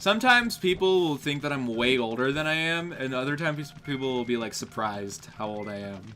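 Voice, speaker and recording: A man with a fairly high voice talks at a fairly quick pace, his pitch swinging very widely over noticeable background noise. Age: 20s. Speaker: gaming streamer. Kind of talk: casual live stream chat. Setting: live stream.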